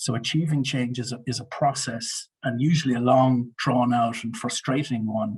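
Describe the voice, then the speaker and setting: Somewhat breathy, a man talks at a moderate pace with a medium pitch, fairly even intonation and hardly any pauses. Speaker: media and communications consultant. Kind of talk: webinar presentation. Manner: hesitant, many fillers.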